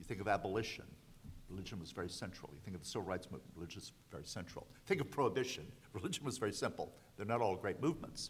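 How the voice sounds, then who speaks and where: Somewhat breathy, a man with an American accent talks at a very fast pace with lively intonation and big swings in loudness. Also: fairly low pitch for a man. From US South. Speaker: law professor. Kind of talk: panel discussion.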